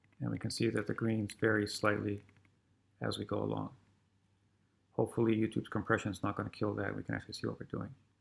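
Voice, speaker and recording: A man mumbles at a very fast pace, broken by long, frequent pauses. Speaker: programming teacher. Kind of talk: tutorial. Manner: mumbling.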